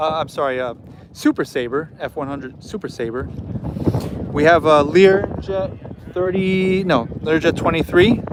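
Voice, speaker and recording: Against noticeable background noise, a man with a fairly high pitch speaks at a fairly slow pace with ordinary pitch variation. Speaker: aviation YouTuber. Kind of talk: live stream commentary. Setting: outdoors at an airfield museum. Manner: casual, halting.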